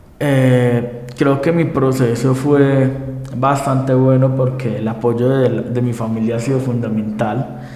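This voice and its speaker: Over noticeable background noise and audible room echo, a man speaks at a very slow pace with monotone, flat intonation. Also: medium pitch for a man. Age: 20s. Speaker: lawyer, blind interviewee. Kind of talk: TV interview. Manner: halting, with fillers.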